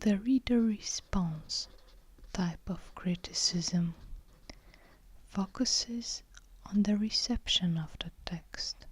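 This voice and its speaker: The voice whispers at a very slow pace. Long pauses come often. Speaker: ASMR book reviewer. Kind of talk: ASMR literary lecture. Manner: whispered.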